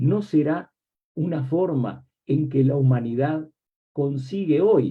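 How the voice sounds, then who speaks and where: Speaking at a fairly slow pace, the man has a fairly high pitch and ordinary pitch variation. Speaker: academic book commentator. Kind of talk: book presentation talk. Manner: reflective, rhetorical questions.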